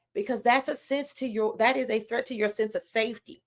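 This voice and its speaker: A woman with an American accent speaks loudly at a fairly quick pace. Her fairly high voice carries vocal fry. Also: dry, close sound with no echo. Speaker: psychologist and pleasure coach. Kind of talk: livestream talk.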